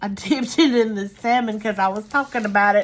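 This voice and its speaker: Her medium-pitched voice, with an American accent, moves at a moderate pace with ordinary pitch variation. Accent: Southern US, thicker when tired. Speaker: craft tutorial creator. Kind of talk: tutorial. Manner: casual, halting with fillers.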